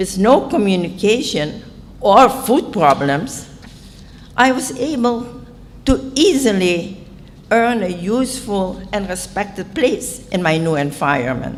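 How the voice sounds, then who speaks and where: A woman with a Dutch accent speaks at a medium pitch and a very slow pace with very wide pitch swings, over audible room echo and noticeable background noise. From Indonesia. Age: 80s+. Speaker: author. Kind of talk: conference talk. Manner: formal.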